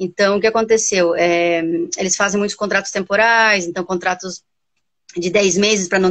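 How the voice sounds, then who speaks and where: At a moderate speed, a woman talks with ordinary variation in pitch. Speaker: volleyball coach and university lecturer. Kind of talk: casual interview chat. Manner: hesitant, repeats words.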